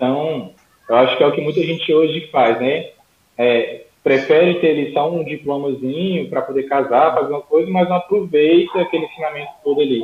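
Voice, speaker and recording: Here a man with a fairly high pitch speaks at a moderate pace with ordinary pitch variation. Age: 20s. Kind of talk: casual interview, faith testimony.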